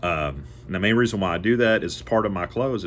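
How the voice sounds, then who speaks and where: This man has a fairly low pitch. Vocal fry runs through his voice. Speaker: door-to-door salesman. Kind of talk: casual educational monologue. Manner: fast; rambling with fillers.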